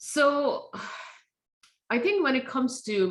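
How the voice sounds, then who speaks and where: A woman's voice at a moderate pace, with very wide pitch swings. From India. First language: not English. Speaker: tech safety nonprofit founder. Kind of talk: speaker series Q&A.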